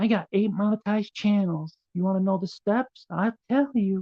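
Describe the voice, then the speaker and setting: At a moderate pace, a squeaky put-on character voice speaks at a fairly high pitch. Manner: mocking.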